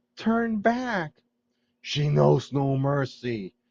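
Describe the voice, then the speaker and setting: Using a put-on character voice, a man sounds hoarse at a fairly high pitch. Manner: warning.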